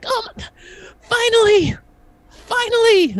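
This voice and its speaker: Extremely high pitch in a put-on character voice. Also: fairly slow pace. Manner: eager, relieved.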